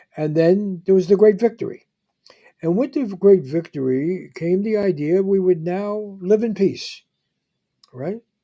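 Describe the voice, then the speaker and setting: A man with a New York accent and a dark, mellow tone speaks at a fairly slow pace with ordinary pitch variation. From New York City (the Bronx). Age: 80s+. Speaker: podcast host, journalist. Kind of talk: interview conversation. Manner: halting, many fillers and restarts.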